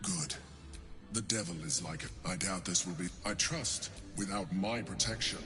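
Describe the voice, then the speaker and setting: A man puts on a character voice, fairly low in pitch, at a moderate pace. Long, frequent pauses break it up, and loud background noise sits underneath. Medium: video game. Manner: haughty, probing.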